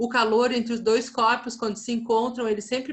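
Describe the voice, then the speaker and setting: This woman has a fairly high pitch and speaks with a southern Brazilian accent. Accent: gaúcho (southern Brazilian). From southern Brazil, Rio Grande do Sul. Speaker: lecturer in anthroposophy. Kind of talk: online lecture. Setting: video call. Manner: conversational, with hesitations.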